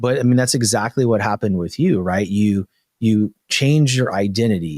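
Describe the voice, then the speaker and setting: With a plain, everyday voice, a man speaks at a fairly low pitch and a moderate pace, keeping very even loudness and ordinary pitch variation in a dry, close sound with no echo. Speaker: podcast host, mindset coach. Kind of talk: podcast interview question.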